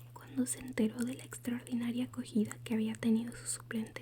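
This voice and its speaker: Whispering and soft-spoken at a fairly quick pace, the voice sits over noticeable background noise. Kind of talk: whispered ASMR audiobook reading for sleep. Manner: whispered, soft-spoken.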